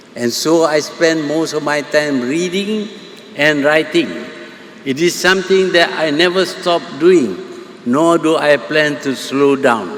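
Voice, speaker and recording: A man with a Malaysian accent speaks fairly slowly at a fairly high pitch, with ordinary pitch variation. Noticeable background noise runs behind him. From Malaysia, Kedah. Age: 80s+. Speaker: prime minister. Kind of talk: public speech.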